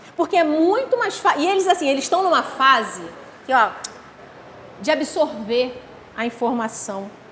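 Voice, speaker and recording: Speaking at a fairly slow pace, a woman uses a high, animated voice with lively intonation over noticeable background noise. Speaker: spiritist lecturer. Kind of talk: lecture.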